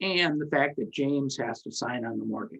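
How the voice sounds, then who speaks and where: A man talks at a moderate pace with a fairly high pitch. His intonation is lively, with vocal fry. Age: 70s. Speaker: syndication attorney and commercial real estate broker. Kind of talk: podcast interview. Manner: animated.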